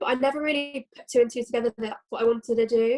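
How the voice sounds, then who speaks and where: A voice with a British accent and ordinary pitch variation. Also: woman. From London, England. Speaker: nursing student. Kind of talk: casual chat.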